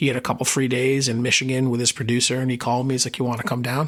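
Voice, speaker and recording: A man talks at a very fast pace. His intonation is flat and monotone. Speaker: singer-songwriter. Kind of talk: interview.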